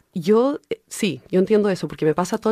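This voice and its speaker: Recorded with a dry, close sound and no echo, a woman speaks at a moderate pace in a dark, mellow tone with ordinary pitch variation. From California, US (left Chile as a baby). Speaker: director, actor, writer and translator. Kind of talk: radio interview.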